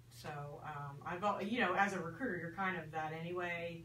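Against light background noise and audible room echo, a woman speaks fairly slowly in a fairly low pitch with a bright, sharp tone. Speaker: recruitment coach. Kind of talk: radio talk show. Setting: radio studio. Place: studio. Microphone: phone near.

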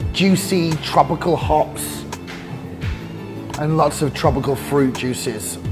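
A man talks at a very slow pace. Music plays clearly in the background. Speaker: beer reviewer. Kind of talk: review commentary. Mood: enthusiastic, upbeat. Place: bar.

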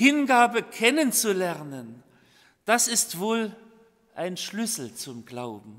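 Over a quiet background, a man with a high pitch talks at a very slow pace with long, frequent pauses. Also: lively intonation. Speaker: preacher. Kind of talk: sermon. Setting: church. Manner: formal; earnest. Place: church. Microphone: podium.

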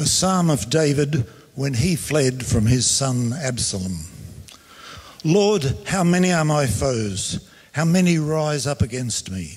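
Speaking at a very slow pace, a man uses lively intonation. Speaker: scripture reader. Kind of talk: reading aloud. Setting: church. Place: church. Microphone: handheld.

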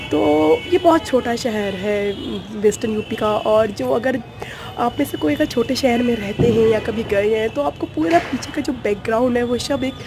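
A woman's fairly high voice with few pauses, over clear music in the background. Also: ordinary pitch variation, moderate pace.

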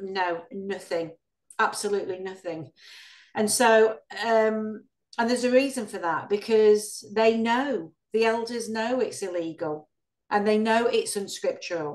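A woman's voice at a fairly slow pace, ordinary pitch variation, quiet background. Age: 50s. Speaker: ex-Jehovah's Witness activist, channel host. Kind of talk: interview. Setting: video call. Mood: earnest, indignant about abuse. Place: home room. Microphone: video call.

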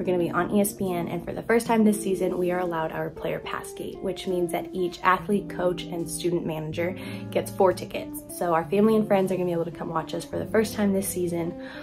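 A woman at a fairly low pitch and a fairly quick pace, with hardly any pauses and clear music in the background. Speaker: college athlete vlogger. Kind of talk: casual vlog chat. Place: home room. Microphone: phone near.

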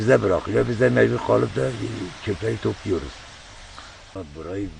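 A man's lively intonation comes through at a moderate pace despite noticeable background noise. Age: 70s. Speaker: volunteer guardian of a crater lake area. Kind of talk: interview answer. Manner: hesitant, plain colloquial speech.

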